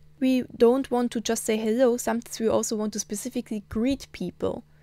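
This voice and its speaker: Speaking at a fairly quick pace, a woman with a German accent has a dark, mellow tone and a fairly high pitch. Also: very clean recording, silent background. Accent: German accent in Na'vi. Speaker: language teacher. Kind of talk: tutorial.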